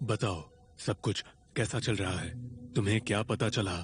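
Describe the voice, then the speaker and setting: This is a man doing a put-on character voice. His pitch is fairly low. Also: moderate pace. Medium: fan dub. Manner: commanding.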